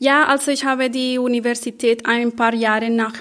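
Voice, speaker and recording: With a non-native accent, a woman talks at a fairly slow pace. Her pitch is high. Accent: foreign accent in German. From Colombia. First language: Spanish (speaking German). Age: 30s. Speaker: social worker. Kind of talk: panel discussion. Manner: halting, searching for words.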